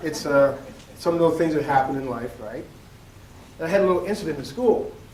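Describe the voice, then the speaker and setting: A man with a fairly high pitch speaks at a fairly quick pace amid noticeable background noise. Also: ordinary pitch variation. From Nova Scotia, Canada. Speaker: educator and keynote speaker. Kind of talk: conference keynote speech. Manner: storytelling, conversational.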